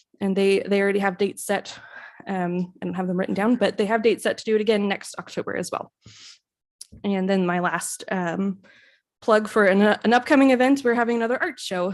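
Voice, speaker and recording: A woman talks at a medium pitch with ordinary pitch variation. The background is quiet. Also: fairly quick pace. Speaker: librarian. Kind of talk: public meeting report. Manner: fast; hesitant, many fillers.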